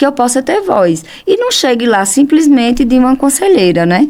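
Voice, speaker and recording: A woman is talking. Her pitch is high. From Brazil, Pernambuco backlands (sertão). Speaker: accountant and professional council leader. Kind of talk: interview conversation. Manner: animated.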